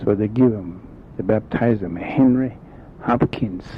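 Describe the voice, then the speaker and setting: The voice shows ordinary pitch variation. Noticeable background noise runs underneath. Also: man. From South Dakota. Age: old. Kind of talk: oral history storytelling. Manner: halting.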